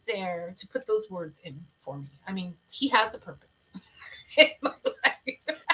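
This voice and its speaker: A woman with a raised, projected voice speaks fairly slowly in an animated tone, her pitch swinging very widely. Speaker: talk show host. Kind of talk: casual interview chat. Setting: livestream show.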